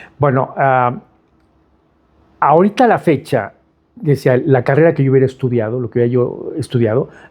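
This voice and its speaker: A man with a Mexico City accent speaks at a moderate pace and a medium pitch, with ordinary pitch variation. He leaves long, frequent pauses. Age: 60s. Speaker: architect. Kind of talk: interview. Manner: halting, many fillers and repetitions.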